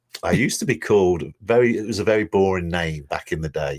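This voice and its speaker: A man with an English accent and a very deep, low pitch, at a fairly quick pace with ordinary pitch variation, dry and close with no echo on a very clean recording with a silent background. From England, Leicester (Blaby). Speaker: events company owner. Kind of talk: radio interview.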